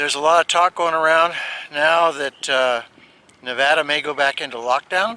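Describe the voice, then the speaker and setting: Amid noticeable background noise, a male voice carries ordinary pitch variation. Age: 70s. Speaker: retired RV vlogger. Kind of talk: casual vlog narration. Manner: halting, many fillers.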